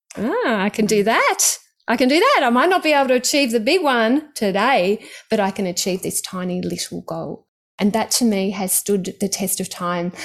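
Speaking in an Australian accent, a woman with a fairly high pitch and lively intonation keeps a moderate pace. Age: 50s. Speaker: stock trading author and mentor. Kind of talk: casual interview chat. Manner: animated.

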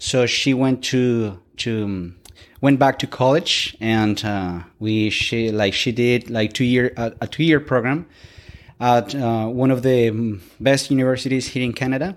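At a fairly slow pace, a man with a Colombian accent talks in a medium pitch. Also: ordinary pitch variation. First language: Spanish. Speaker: guest, Spanish-speaking immigrant to Canada learning English. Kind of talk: casual interview chat. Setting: podcast interview. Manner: halting, filler-heavy.

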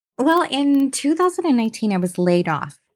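Very wide pitch swings from a woman with a Canadian accent, on a very clean recording with a silent background. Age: 50s. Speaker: entrepreneur. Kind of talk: interview.

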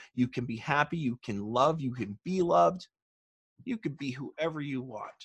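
The somewhat breathy voice has lively intonation and a moderate pace, with a dry, close sound, no echo and a quiet background. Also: man, fairly high pitch for a man. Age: 30s. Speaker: rock band guitarist with Asperger's. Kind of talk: casual video interview. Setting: video call.

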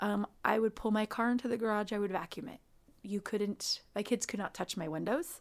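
Heard on a very clean recording with a silent background, a plain, everyday voice moves at a fairly quick pace with ordinary pitch variation. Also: woman, fairly high pitch for a woman. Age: 40s. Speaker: guest sharing weight loss surgery story. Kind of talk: casual interview.

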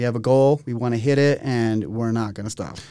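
With an American accent, a man talks at a fairly quick pace in a dark, mellow tone, his medium pitch showing ordinary variation. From Utah. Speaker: podcast co-host, real estate agent. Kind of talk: casual interview.

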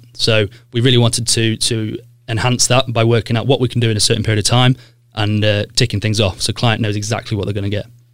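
Music plays in the background as a man talks at a very fast pace. His medium-pitched voice stays monotone and flat. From Sheffield, South Yorkshire (Broomhill). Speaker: cleaning company director. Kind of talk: interview.

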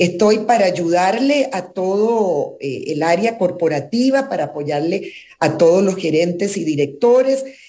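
Pauses are almost absent here. The speech moves at a fairly slow pace. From Chile, raised in Costa Rica. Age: 60s. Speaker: former government minister and corporate relations executive. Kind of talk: radio interview. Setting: video call.

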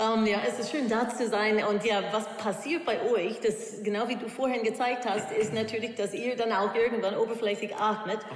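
At a moderate pace and with hardly any pauses, a woman speaks with a non-native accent and fairly even intonation at fairly high pitch. The room echo is audible, and background noise is noticeable. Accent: foreign accent in German. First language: English (speaking German). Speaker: opera singer and voice coach. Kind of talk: interview. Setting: music hall at a university.

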